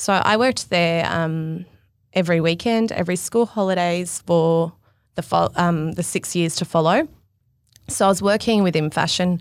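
A woman with an Australian accent talks at a moderate pace in a fairly low pitch, on a very clean recording with a silent background. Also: ordinary pitch variation. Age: 30s. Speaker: fashion stylist. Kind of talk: casual interview chat.

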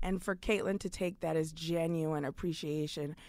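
On a very clean recording with a silent background, a woman with an American accent and a plain, everyday voice speaks at a moderate pace, her pitch fairly low and her intonation fairly even. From New York City (Brooklyn). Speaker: comedian and writer. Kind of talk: casual chat.

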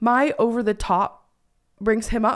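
A woman talks in an animated tone with a high pitch. The recording is very clean, with a silent background. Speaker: podcast host and internet creator. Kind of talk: casual chat.

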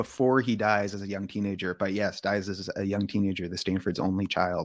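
Recorded very cleanly against a silent background, a man talks at a fairly quick pace in a Californian accent. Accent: General American (Californian). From US West Coast (Palo Alto, California). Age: 30s. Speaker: author. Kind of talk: interview.

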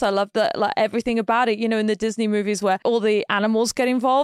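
A woman with a British accent talks at a very fast pace, her fairly high pitch showing ordinary variation, in a dry, close sound with no echo. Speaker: professional ballroom dancer. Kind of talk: casual chat.

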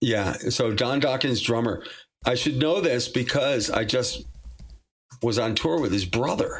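Talking at a fairly slow pace with very even loudness, a man with an American accent uses a medium pitch and ordinary pitch variation amid audible room echo. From Massachusetts, US. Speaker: rock singer. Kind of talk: casual interview chat. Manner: animated, laughing often.

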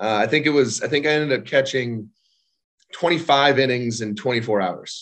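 Speaking fairly slowly, a man uses an ordinary speaking voice with ordinary pitch variation. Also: medium pitch for a man. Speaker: baseball catcher and co-host. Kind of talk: casual chat.

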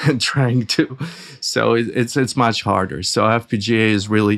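A man speaks with a Russian accent and fairly even intonation. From Soviet Union, emigrated to US at 14. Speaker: audio company founder and engineer. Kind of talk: interview. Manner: halting, with fillers.

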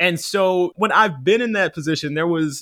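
Dry and close with no echo, a very clean recording with a silent background captures a man speaking at a moderate pace with ordinary pitch variation. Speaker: writer and audio producer. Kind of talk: casual advice conversation. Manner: animated, laughs often.

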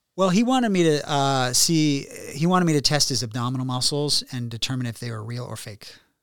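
Talking at a fairly quick pace in an American accent, a man with a normal speaking voice and fairly high pitch uses lively intonation and big swings in loudness. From Virginia, US. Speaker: plastic surgeon. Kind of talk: casual chat.

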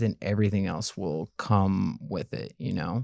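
In an American accent, a man speaks with a dark, mellow tone. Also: very clean recording, silent background. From US South, Memphis, Tennessee. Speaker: dating show contestant. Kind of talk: casual chat. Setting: studio.

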